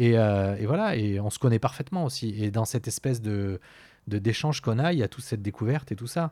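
A man with a medium-pitched voice and a dark, mellow tone talks at a fairly quick pace on a very clean recording with a silent background. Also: ordinary pitch variation. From southwest France (Pau). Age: 40s. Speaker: podcast guest. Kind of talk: personal testimony. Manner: halting.

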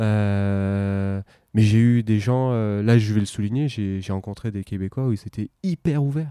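Speaking very slowly, a man has a fairly low pitch, ordinary pitch variation and a dark, mellow tone. The sound is dry and close with no echo, on a very clean recording with a silent background. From Paris region, France. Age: 30s. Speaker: expatriate interviewee. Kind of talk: intimate interview conversation.

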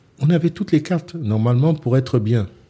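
A man's somewhat breathy voice with a dark, mellow tone, medium pitch and lively intonation. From France, Centre region. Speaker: boxing club founder. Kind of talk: interview.

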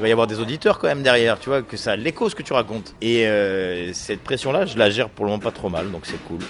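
A man with a medium-pitched voice talks at a fairly quick pace with ordinary pitch variation over noticeable background noise. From France, Nice. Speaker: comedian. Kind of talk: interview.

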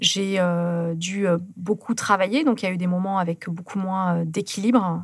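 Somewhat breathy and fairly low-pitched, a woman talks at a moderate pace with ordinary pitch variation. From southern France, Carcassonne and Toulouse area. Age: 30s. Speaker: ultra-distance runner and polar adventurer. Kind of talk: interview. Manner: calm.

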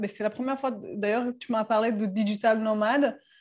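With a Serbian accent, a woman speaks in a fairly high pitch and fairly even intonation against a quiet background. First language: Serbian (speaking French). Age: 30s. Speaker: sailor and travelling mother. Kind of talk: casual interview chat.

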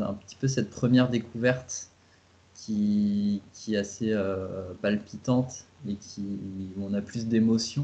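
Speaking at a very slow pace, the man keeps a medium pitch and fairly even intonation. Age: 30s. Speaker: travel blogger and father. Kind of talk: interview. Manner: halting.

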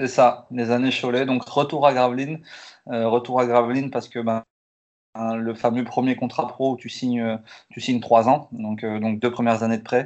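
The man's pitch sits at a medium level. His intonation is monotone and flat. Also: moderate pace. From northern France, Lille area (Tourcoing). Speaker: professional basketball player. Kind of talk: casual interview. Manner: halting, repeats words.

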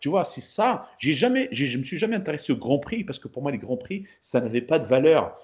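This man talks at a fairly quick pace in a fairly high, somewhat breathy voice with very wide pitch swings. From Paris, France, Moroccan heritage. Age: 40s. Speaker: bodybuilder. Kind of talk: casual interview.

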